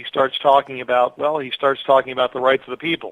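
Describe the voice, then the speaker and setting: A man talks at a medium pitch in a monotone, flat intonation. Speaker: political candidate. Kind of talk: interview. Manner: loud.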